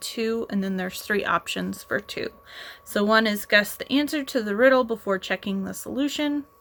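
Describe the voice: Text is read out plainly. Nothing more than straightforward reading aloud.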